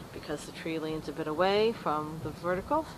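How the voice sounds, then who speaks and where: A woman talks at a moderate pace with ordinary pitch variation. She has an unremarkable speaking voice. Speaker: amateur treehouse builder. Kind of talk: casual video walkthrough narration.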